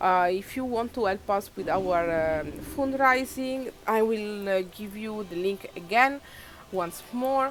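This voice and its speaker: Speaking at a very slow pace, a woman with a non-native accent uses a fairly high pitch. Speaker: video game streamer. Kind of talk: live gameplay commentary. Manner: halting, many fillers.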